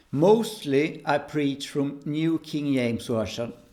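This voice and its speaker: With a Swedish accent, a man talks at a fairly high pitch with ordinary pitch variation. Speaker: preacher. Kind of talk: religious talk to camera. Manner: halting.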